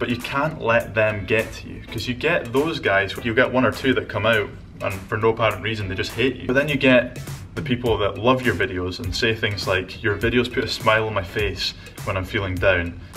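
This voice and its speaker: Music plays behind a man who talks at a fairly quick pace, his medium pitch showing ordinary variation. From Scotland. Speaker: vlogger and entrepreneur. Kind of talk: casual talk to camera. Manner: upbeat, enthusiastic.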